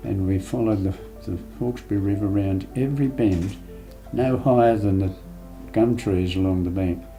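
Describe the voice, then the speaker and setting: A man with an Australian accent speaks at a fairly low pitch with ordinary pitch variation, leaving long, frequent pauses, while music plays in the background and the room echo is audible. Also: moderate pace. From Sydney, Australia. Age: 90s. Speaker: war veteran. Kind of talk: interview.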